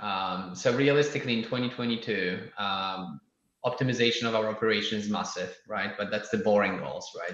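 A man speaks with a Polish accent. His pitch sits at a medium level with ordinary pitch variation. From Poland. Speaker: startup founder. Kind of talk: casual interview. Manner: halting, many fillers.

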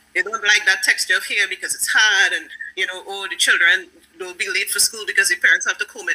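A woman talks at a very fast pace, her voice making big swings in loudness. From Trinidad and Tobago. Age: 30s. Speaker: speculative fiction writer. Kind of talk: interview.

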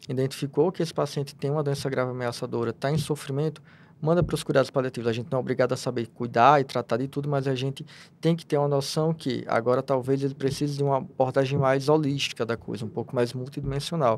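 The delivery moves at a very fast pace. Intonation stays fairly even throughout. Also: man, fairly high pitch for a man. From Rio Grande do Norte, Brazil. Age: 30s. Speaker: palliative care physician. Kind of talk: interview.

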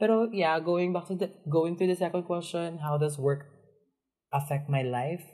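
A man's high-pitched voice with a Filipino accent, dark, mellow tone and ordinary pitch variation. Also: moderate pace. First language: Tagalog. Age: 20s. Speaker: podcast co-host. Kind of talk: casual chat.

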